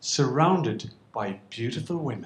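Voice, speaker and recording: Somewhat breathy, a man talks in an Irish accent. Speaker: storyteller. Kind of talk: stand-up storytelling. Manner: animated.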